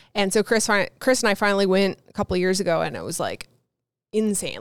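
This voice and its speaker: Dry and close with no echo, a woman with an unremarkable speaking voice talks at a fairly quick pace and medium pitch. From Newfoundland, Canada. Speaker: YouTuber and photographer. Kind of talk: interview conversation. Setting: video call.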